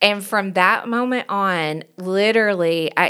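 A woman speaks with a Southern US accent. Her pitch rises and falls in an ordinary way. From US South, Knoxville, Tennessee. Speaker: pastor and worship leader. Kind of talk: casual chat. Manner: animated.

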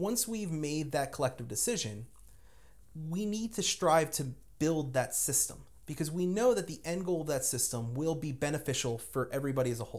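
A man with an American accent and an unremarkable speaking voice talks at a fairly quick pace, his fairly high pitch carrying lively intonation. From New Jersey (Lyndhurst, near Manhattan). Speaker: debate-minded guest. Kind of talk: casual discussion. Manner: frequent laughter.

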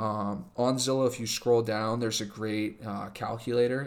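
Here a man has an unremarkable speaking voice at medium pitch. He moves at a fairly quick pace with ordinary pitch variation. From California. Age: 20s. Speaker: podcast guest, host's boyfriend and new homeowner. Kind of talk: casual chat. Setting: home dining room.

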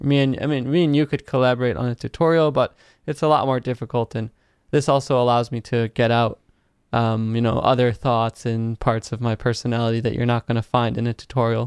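Using a clear, smooth tone, a man speaks at a medium pitch and a fairly quick pace with little pitch movement.

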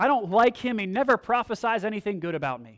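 A whiny, put-on character voice with a fairly high pitch races along at a very fast pace. The recording is very clean with a silent background.

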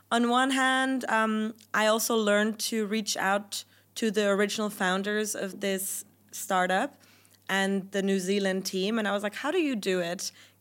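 Intonation stays fairly even as a woman speaks with a German accent. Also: medium pitch for a woman, moderate pace. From Germany. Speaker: venture capital investor. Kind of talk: podcast interview.

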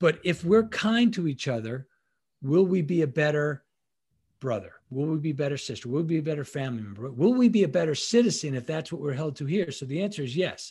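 Against a quiet background, a man speaks very fast in a fairly high, somewhat breathy voice with lively intonation. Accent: American. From Long Island, New York. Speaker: leadership consultant, former Navy SEAL and FBI agent. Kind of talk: casual interview.

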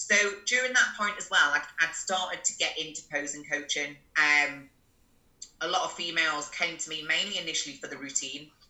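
With noticeable background noise behind her, a woman talks at a fairly quick pace in a very deep, low voice with ordinary pitch variation. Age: 30s. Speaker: posing coach. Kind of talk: casual interview chat.

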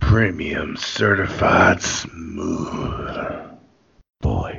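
In a put-on character voice, a man growls at a fairly low pitch with audible echo. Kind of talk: exaggerated put-on voice. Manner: creepy, smooth.

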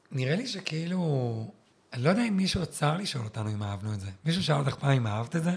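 Very fast, somewhat breathy speech from a man, fairly high in pitch with very wide pitch swings. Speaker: former competitive swimmer, tour guide. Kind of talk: interview conversation.

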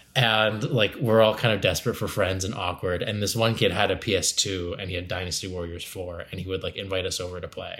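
This is a man with a plain, everyday voice, pitched fairly low, with fairly even intonation. He speaks with hardly any pauses. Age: 30s. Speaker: comedian and improviser. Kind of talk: casual chat.

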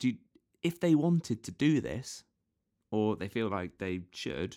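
A man with a British accent and very wide pitch swings. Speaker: podcast co-host. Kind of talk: casual banter. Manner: playful, silly.

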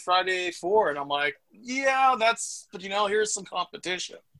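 Speaking fairly quickly with a Canadian accent, a man uses a raised, projected voice with a bright, sharp tone. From Saskatchewan, Canada. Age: 40s. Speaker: horror film writer. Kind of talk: casual chat.

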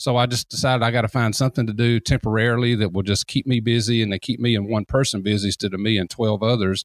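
A man with a Southern US accent at a very fast pace, medium pitch, very even loudness, fairly even intonation and hardly any pauses. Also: dry, close sound with no echo. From Columbus, Georgia, US South. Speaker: deck builder and consultant. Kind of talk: casual interview.

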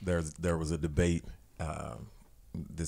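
A man's very deep, low-pitched voice with fairly even intonation. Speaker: pastor. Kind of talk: casual chat.

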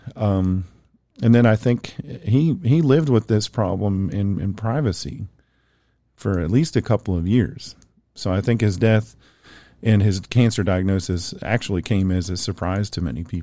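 At a moderate pace, a man with a fairly low, dark, mellow voice uses lively intonation in a very clean recording with a silent background. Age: 40s. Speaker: podcast host. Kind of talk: casual chat. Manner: halting.

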